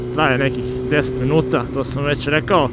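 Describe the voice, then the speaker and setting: A man's voice, dry with no echo, against noticeable background noise. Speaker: motovlogger rider. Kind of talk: casual vlog chat. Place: motorbike.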